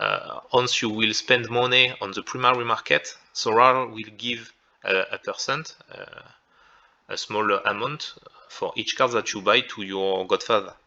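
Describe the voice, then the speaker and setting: A man with a French accent at a fairly slow pace, with big swings in loudness. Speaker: content creator. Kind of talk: tutorial. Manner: halting.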